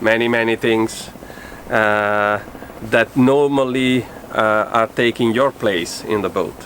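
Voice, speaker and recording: A man in an Italian accent speaks at a very slow pace, with medium pitch. His intonation is monotone and flat, and background noise is noticeable. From Italy. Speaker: sailing vlogger, boat owner. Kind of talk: boat tour walkthrough. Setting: outdoors on a sailboat. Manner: hesitant, many filler sounds.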